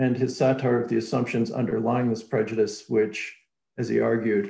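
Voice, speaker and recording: The voice stays monotone and flat, with audible echo from the room. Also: man. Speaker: academic host introducing speaker. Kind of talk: formal introduction.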